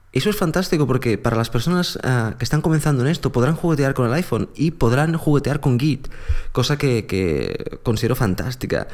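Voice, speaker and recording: A plain, everyday voice at a fairly quick pace, with ordinary pitch variation and very even loudness. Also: man, medium pitch for a man. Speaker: podcast host. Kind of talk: casual chat.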